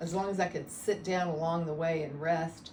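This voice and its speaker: A fairly low-pitched woman's voice with fairly even intonation, audible room echo and noticeable background noise. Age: 60s. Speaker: patient. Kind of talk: testimony. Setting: interview. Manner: halting.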